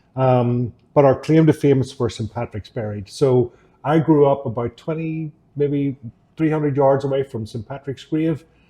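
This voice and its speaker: In a Northern Irish accent, the somewhat breathy voice moves at a moderate pace with fairly even intonation. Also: man, fairly high pitch for a man. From Northern Ireland, Downpatrick. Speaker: electrochemist. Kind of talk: interview.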